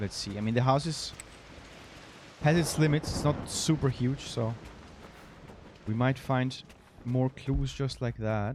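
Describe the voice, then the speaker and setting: Speaking with a non-native accent, a man of medium pitch leaves long, frequent pauses. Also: ordinary pitch variation, fairly slow pace. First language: not English. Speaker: video game streamer. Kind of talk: let's play commentary. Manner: halting.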